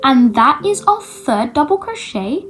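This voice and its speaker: Music sounds in the background while a woman talks at a fairly slow pace. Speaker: crochet teacher. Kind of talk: tutorial.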